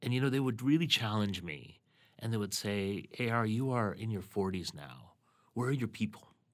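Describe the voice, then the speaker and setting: A man speaks in a plain, everyday voice at a fairly low pitch with ordinary pitch variation and a fairly quick pace. The recording is very clean, with a silent background. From Canada. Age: 40s. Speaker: journalist and educator. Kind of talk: interview conversation.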